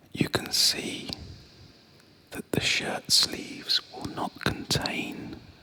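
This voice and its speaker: Someone whispers at a very slow pace with long, frequent pauses while noticeable background noise runs underneath. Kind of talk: nostalgic sleep story narration. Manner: soft-spoken.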